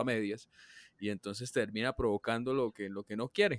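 On a very clean recording with a silent background and a dry, close sound with no echo, a man with an ordinary speaking voice talks at a moderate pace with ordinary pitch variation. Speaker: podcast co-host. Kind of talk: casual chat.

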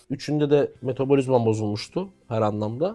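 Pitched in the middle range, a man speaks in an unremarkable speaking voice. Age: young. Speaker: football commentator. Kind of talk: casual chat.

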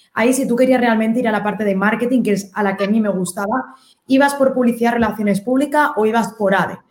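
A woman talks at a very fast pace, her fairly high voice held to fairly even intonation and very even loudness. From Spain. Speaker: digital marketing consultant. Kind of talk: interview.

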